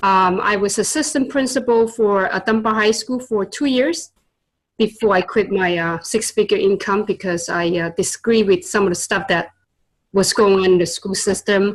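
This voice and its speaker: A woman with a Chinese accent speaks at a moderate pace with ordinary pitch variation. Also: medium pitch for a woman. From China (born in Vietnam). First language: Chinese and Vietnamese. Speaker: tutor and entrepreneur. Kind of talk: interview. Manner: hesitant, many fillers.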